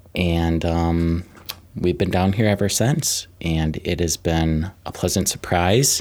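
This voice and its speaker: A man with an American accent. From Minnesota, Twin Cities area. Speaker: byway coordinator. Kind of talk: casual interview. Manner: hesitant fillers.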